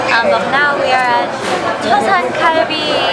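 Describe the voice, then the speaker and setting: At a fairly slow pace, the speaker talks while music runs in the background. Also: woman. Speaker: vlogger. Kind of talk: casual vlog chat. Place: cafe. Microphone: phone near.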